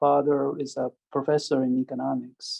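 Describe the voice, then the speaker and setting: A man speaks with a Japanese accent. His pitch variation is ordinary. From Japan, Osaka. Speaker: economics professor. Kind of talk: interview. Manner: halting.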